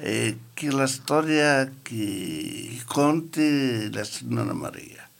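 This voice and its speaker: A man talks at a very slow pace with hardly any pauses. Noticeable background noise is present. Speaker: community radio participant. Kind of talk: casual chat.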